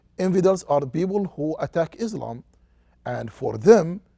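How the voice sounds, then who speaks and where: A man with an Arabic accent, a high pitch and a dark, mellow tone. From Saudi Arabia, Qatif. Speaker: sociology professor. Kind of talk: interview. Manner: halting.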